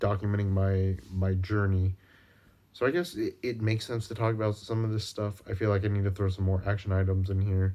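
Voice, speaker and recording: A man at a moderate pace, fairly low in pitch, flat and monotone, in a very clean recording with a silent background. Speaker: video journal vlogger. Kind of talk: personal video diary. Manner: halting, many fillers.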